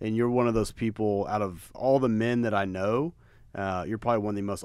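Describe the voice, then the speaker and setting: A man's fairly low voice at a fairly quick pace, with ordinary pitch variation, a dry sound with no echo, and a quiet background. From Texas. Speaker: podcast host and apparel brand co-founder; podcast host. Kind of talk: casual chat. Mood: warm, complimentary. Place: meeting room. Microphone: studio mic.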